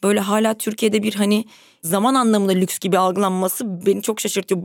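Here a woman uses an ordinary speaking voice. Her intonation is fairly even. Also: very clean recording, silent background. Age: 30s. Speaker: podcaster. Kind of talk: casual chat.

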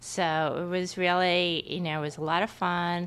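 A woman with an American accent uses a normal speaking voice with fairly low pitch and fairly even intonation at a moderate pace. The recording is very clean, with a silent background. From New York. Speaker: market researcher. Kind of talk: casual interview. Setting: her apartment.

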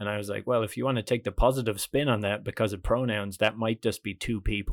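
A very fast man in a Dublin accent, fairly low in pitch, on a very clean recording with a silent background and a dry, close sound with no echo. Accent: Irish (Dublin). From Ireland, Dublin. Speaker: comedian. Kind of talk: casual chat. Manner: animated.

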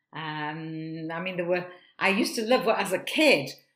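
Here a woman speaks with a Manchester accent. Her pitch is medium and her intonation lively. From northern England, Manchester. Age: 70s. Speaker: improv performer and actor. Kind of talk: casual chat.

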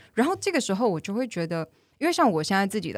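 A woman talks at a very fast pace with a medium pitch. The recording is very clean, with a silent background. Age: 20s. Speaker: English teacher. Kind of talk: casual chat.

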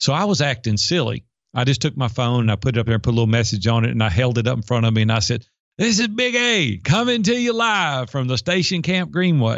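With a Southern US accent, the speaker races along at a very fast pace, loudness very even and pitch swinging very widely. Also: man, medium pitch for a man. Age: 50s. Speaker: life and business coach. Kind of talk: interview.

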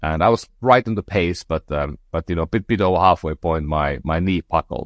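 In a Finnish accent, a man speaks at a moderate pace with a very deep, low pitch, vocal fry and ordinary pitch variation, the sound dry and close with no echo over a quiet background. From northern Finland. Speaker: entrepreneur. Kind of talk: interview conversation. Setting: remote call. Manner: halting, many fillers.

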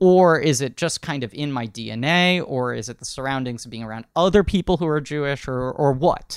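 Speaking with an American accent at a fairly quick pace with hardly any pauses, a man uses a plain, everyday voice of fairly high pitch, with ordinary pitch variation and big swings in loudness. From New York City. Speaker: podcast host and actor. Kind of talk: casual chat.

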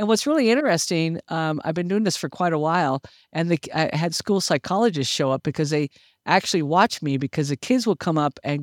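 In a very clean recording with a silent background and a dry, close sound with no echo, a woman with an unremarkable speaking voice talks at a moderate pace with lively intonation. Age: 60s. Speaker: retiree and community volunteer, veteran. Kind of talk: casual interview chat.

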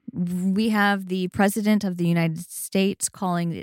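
A woman's fairly low-pitched, an unremarkable speaking voice, with fairly even intonation, in dry, close sound with no echo on a very clean recording with a silent background. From US, Japanese American family. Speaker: podcast co-host. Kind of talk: casual chat. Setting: home closet recording.

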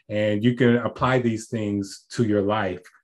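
Fairly low male pitch with fairly even intonation, a man with an American accent against a quiet background. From Texas, Port Arthur. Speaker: family physician. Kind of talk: casual chat.

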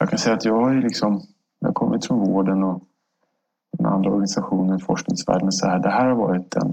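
Speaking at a fairly quick pace with long, frequent pauses, a man with a fairly low pitch keeps his loudness very even and his pitch variation ordinary. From Stockholm, Sweden. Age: 50s. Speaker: government agency director. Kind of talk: interview.

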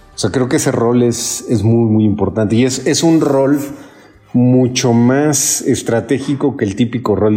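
Speaking at a moderate pace, the man has a dark, mellow tone. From Mexico City. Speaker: human capital consultant. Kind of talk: interview. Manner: hesitant, repeats words.

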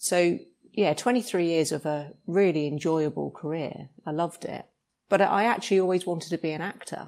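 In a very clean recording with a silent background, a woman with a British accent speaks at a moderate pace, her fairly low pitch showing ordinary variation. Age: 50s. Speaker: actor, former police officer. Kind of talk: casual interview.

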